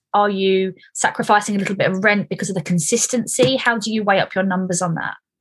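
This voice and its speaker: Talking at a very fast pace in a Stoke-on-Trent accent, a woman with a medium pitch sounds somewhat breathy, her intonation fairly even. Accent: local Stoke-on-Trent. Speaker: property podcast host. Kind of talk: interview.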